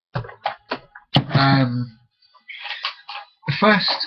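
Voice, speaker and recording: A man talks with an English accent. Music plays in the background. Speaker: vlogger. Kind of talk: casual webcam monologue.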